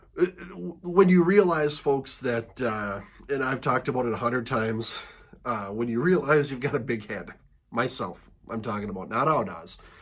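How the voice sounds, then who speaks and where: A man speaks at a moderate pace in a medium pitch with lively intonation over noticeable background noise. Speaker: wrestling mask collector, channel host. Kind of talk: casual video monologue. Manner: casual, hesitant with fillers.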